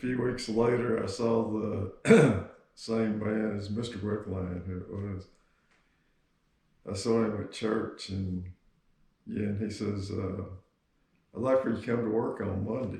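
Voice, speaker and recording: Fairly low-pitched and somewhat breathy, a man speaks slowly in a dark, mellow tone with fairly even intonation. He leaves long, frequent pauses, and audible room echo surrounds him. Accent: Texan. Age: 70s. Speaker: grandfather, Vietnam veteran. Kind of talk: interview.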